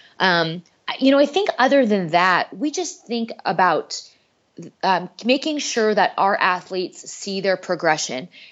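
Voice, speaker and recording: A woman with an American accent speaks at a fairly slow pace in a medium pitch, her voice swinging very widely up and down. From US Upper Midwest, North Dakota. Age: 40s. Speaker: cancer exercise specialist. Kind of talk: casual interview.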